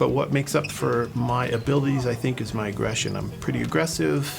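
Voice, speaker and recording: Audible room echo and noticeable background noise surround a man talking very fast. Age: 50s. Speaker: university researcher, amateur basketball player. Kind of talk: documentary interview.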